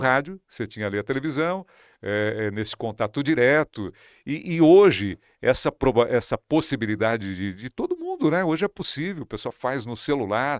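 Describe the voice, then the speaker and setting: An unremarkable speaking voice belongs to this man at medium pitch. He moves at a moderate pace with lively intonation. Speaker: radio and TV broadcaster, news presenter. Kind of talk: interview answer.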